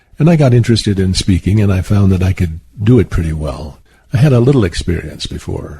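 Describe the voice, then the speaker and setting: Here a man with an American accent talks at a very fast pace, somewhat breathy. His voice has a dark, mellow tone, a fairly low pitch and lively intonation. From Southwestern United States. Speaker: author and poet. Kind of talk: interview answer.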